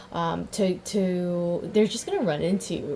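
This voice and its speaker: There is noticeable background noise as a woman speaks at medium pitch. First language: not English. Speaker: tarot reader. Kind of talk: tarot reading. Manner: halting, self-correcting; animated.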